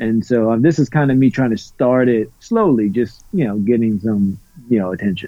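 With an American accent, a man talks at a moderate pace and medium pitch, his loudness very even and his pitch variation ordinary. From US South, Louisiana. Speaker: podcaster. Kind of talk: casual chat. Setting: video call. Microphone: quiet.

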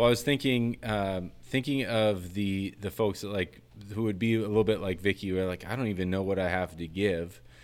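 On a very clean recording with a silent background, a man speaks at a fairly quick pace in a plain, everyday voice, fairly low in pitch with ordinary pitch variation. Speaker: podcast host and producer. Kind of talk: casual chat. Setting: in-person recording.

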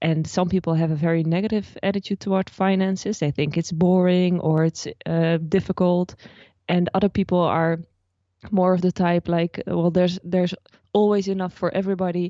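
A woman's fairly low voice in a Dutch accent, monotone and flat, very even in loudness, at a moderate pace. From Netherlands. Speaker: personal finance blogger. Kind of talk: interview.

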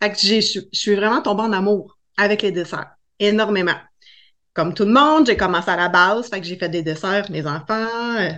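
A Quebec accent at a moderate pace. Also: woman. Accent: Québécois French. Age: 40s. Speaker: cake design entrepreneur. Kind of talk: interview.

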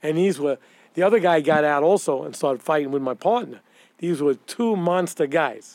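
A man with a New York accent speaks at a moderate pace in a fairly high voice. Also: ordinary pitch variation. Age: 60s. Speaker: retired police detective. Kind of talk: storytelling interview.

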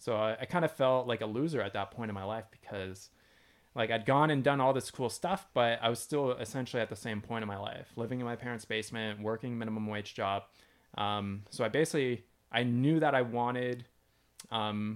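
A fairly quick-paced man in an ordinary speaking voice, his pitch medium and its variation ordinary. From London, Ontario, Canada. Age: 30s. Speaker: YouTuber and homesteader. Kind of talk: casual interview.

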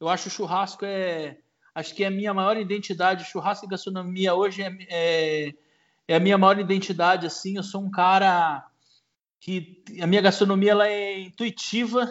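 At a moderate pace, a man with a high pitch speaks with monotone, flat intonation. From interior of São Paulo state, Marília. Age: 40s. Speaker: chef and barbecue cook. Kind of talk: casual interview.

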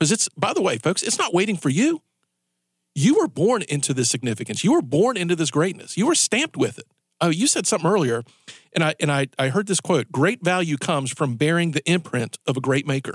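A man's high voice, fairly quick and with lively intonation, in a dry, close sound with no echo against a quiet background. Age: 40s. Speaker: radio talk show host. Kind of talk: live talk radio patter leading into a commercial break, teasing the next segment. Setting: radio studio, broadcast live on air and Facebook Live. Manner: loose, conversational, with repeated words and self-restarts; chuckling, upbeat teaser delivery.

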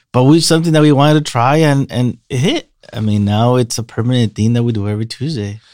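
Very fast and with hardly any pauses, a man speaks at a medium pitch with ordinary pitch variation on a very clean recording with a silent background. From Mexico. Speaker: bar owner. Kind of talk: casual chat. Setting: studio.

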